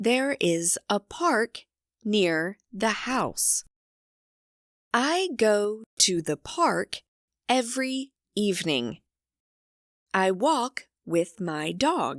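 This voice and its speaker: A woman with a fairly high pitch talks very slowly, her pitch swinging very widely between long, frequent pauses. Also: very clean recording, silent background. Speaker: English teacher narrator. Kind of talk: graded reader story reading. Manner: slow, clear.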